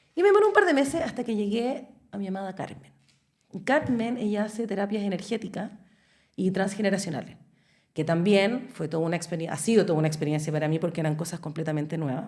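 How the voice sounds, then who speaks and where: Somewhat breathy and very fast, a woman speaks at a medium pitch with lively intonation. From Chile. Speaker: podcast guest. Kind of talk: casual chat.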